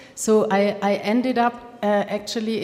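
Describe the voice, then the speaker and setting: Over noticeable background noise, a woman with a German accent speaks at a fairly slow pace in a fairly high voice with monotone, flat intonation. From Germany. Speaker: film funding expert. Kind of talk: workshop talk. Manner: halting.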